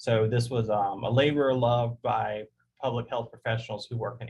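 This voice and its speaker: Monotone and flat, a man speaks at a medium pitch with an American accent. His voice is somewhat breathy. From US South. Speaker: public health professor. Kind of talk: webinar presentation and Q&A. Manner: fast.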